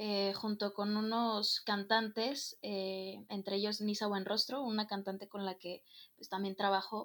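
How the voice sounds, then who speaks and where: At a fairly slow pace, a woman talks in a medium pitch. Her intonation stays monotone and flat. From Mexico, Guadalajara, Jalisco. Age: young. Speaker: student and stage manager. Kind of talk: casual chat.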